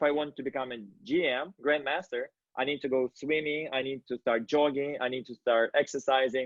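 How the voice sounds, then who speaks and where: The pace of this speech is fairly quick. It is delivered with a non-native accent. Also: man. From Kazakhstan. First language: not English. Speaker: interviewer, company founder. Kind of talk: interview. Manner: halting.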